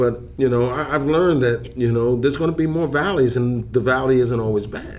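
In a New York accent, the speaker moves at a fairly quick pace with ordinary pitch variation. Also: man, medium pitch for a man. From New York (Harlem). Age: 60s. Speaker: substance abuse counselor. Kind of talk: casual chat.

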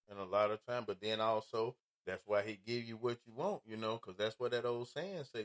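The sound is dry and close with no echo as a man talks at a fairly quick pace. He has an ordinary speaking voice at medium pitch. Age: 50s. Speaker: podcast host, former truck driver. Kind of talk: casual chat. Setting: studio.

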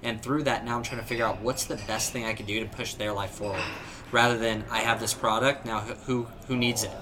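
A man with a Southern Californian accent talks in a medium pitch amid noticeable background noise and audible room echo. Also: fairly quick pace. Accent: Southern California American. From Southern California, San Diego. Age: young. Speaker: entrepreneur, company founder. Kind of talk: casual interview chat. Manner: animated.

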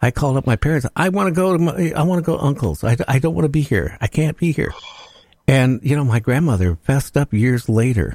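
Speaking at a fairly quick pace, a man with a medium pitch and lively intonation sounds somewhat breathy, his loudness very even in a dry, close recording with no echo. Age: 70s. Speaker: radio host. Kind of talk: casual chat.

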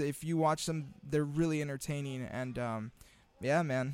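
In a very clean recording with a silent background, a man with an American accent uses an unremarkable speaking voice, fairly high in pitch, with ordinary pitch variation. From Imperial Valley, Southern California. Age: 30s. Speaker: podcast co-host, student teacher. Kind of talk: casual chat. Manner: relaxed, filler-heavy.

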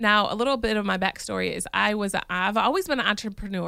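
Talking at a very fast pace with an American accent, a woman is heard on a very clean recording with a silent background. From Michigan. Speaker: podcast host. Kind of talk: casual monologue.

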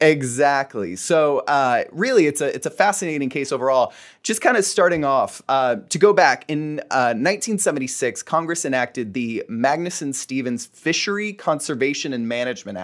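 Against a quiet background, a man with an ordinary speaking voice and fairly high pitch talks at a moderate pace with lively intonation and hardly any pauses. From Florida (Fort Myers). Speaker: attorney. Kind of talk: casual chat.

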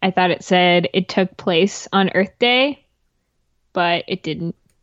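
Speaking at a moderate pace, a woman has an unremarkable speaking voice at medium pitch with ordinary pitch variation. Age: 20s. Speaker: podcast co-host. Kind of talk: casual chat.

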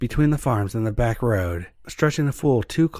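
The intonation here is lively. It is a natural reading voice.

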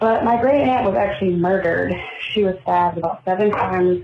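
A woman with an American accent, medium pitch and ordinary pitch variation, at a fairly quick pace over noticeable background noise. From Florida Panhandle. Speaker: listener caller. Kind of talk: voicemail message.

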